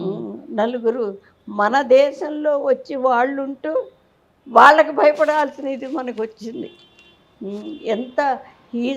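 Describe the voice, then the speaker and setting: A woman speaks at a high pitch with ordinary pitch variation and big swings in loudness. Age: 80s+. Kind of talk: interview answer.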